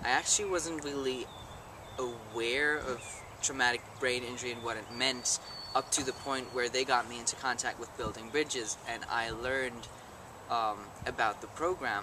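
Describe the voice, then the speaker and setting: Noticeable background noise behind fairly even intonation. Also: man, medium pitch for a man, moderate pace. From Germany. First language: German. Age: young. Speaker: live-in volunteer. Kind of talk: interview.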